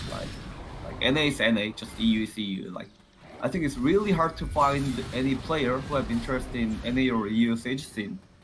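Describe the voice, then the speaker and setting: A man's medium-pitched voice with a Korean accent, lively intonation and a fairly quick pace, plus noticeable background noise. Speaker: gamer. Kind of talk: interview. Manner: halting.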